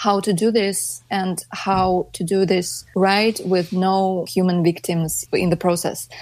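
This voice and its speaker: A woman at a medium pitch with a Russian accent, very slow pace, very clean recording, silent background. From Russia, St Petersburg. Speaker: anti-war activist and artist. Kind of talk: interview.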